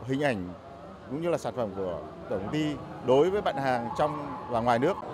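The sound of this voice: Faint background noise runs under a man's voice. His tone is slightly mellow, and his intonation is lively. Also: medium pitch for a man, fairly quick pace.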